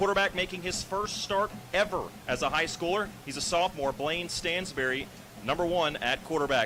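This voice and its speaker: A man speaks at a moderate pace with a high pitch and ordinary pitch variation. Noticeable background noise runs underneath. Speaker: radio play-by-play announcer. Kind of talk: live sports commentary. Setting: radio broadcast booth. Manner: loud.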